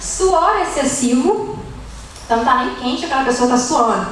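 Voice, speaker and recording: A woman speaks at a moderate pace with lively intonation. The audio carries noticeable background noise and audible room echo. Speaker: nutritionist giving a church talk. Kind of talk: lecture.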